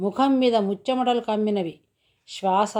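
Plain reading aloud is heard over a quiet background.

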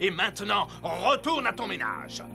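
A man does a cartoonish character voice at a high pitch, with vocal fry, big pitch swings and a fairly slow pace, while music plays clearly in the background.

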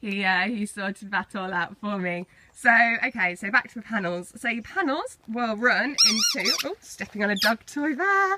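At a moderate pace, a woman with a medium pitch and a bright, sharp tone speaks with very wide pitch swings.

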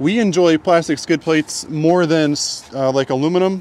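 A man talks at a moderate pace with ordinary pitch variation, the sound dry with no echo and light background noise behind him. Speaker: dealership video host. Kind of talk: product walk-around commentary. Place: street. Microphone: phone near.

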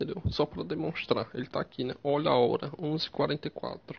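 A somewhat breathy man's voice, fairly high in pitch, at a moderate pace. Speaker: YouTuber. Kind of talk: tutorial. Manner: halting.

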